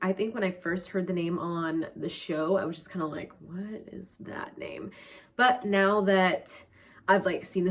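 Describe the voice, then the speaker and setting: Here is a woman with an ordinary speaking voice and a fairly low pitch. She speaks at a moderate pace with ordinary pitch variation. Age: 20s. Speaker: YouTuber. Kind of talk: casual talk to camera. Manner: chatty, upbeat.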